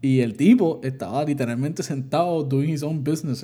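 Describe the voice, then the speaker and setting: A man's somewhat breathy, dark, mellow tone, fairly high in pitch with ordinary pitch variation, at a fairly quick pace. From Puerto Rico. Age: 20s. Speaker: podcast co-host. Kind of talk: casual chat.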